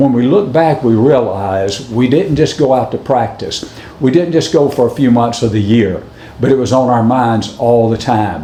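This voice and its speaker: A man's medium-pitched voice with a Southern US accent, ordinary pitch variation, moderate pace and very even loudness, amid noticeable background noise and audible room echo. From US South, Alabama. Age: 70s. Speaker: former college football kicker. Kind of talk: recorded acceptance speech.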